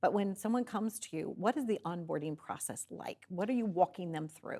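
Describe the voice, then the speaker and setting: An unremarkable speaking voice: a woman at a medium pitch, a fairly quick pace, on a very clean recording with a silent background. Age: 60s. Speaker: talk show host. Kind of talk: interview. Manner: casual.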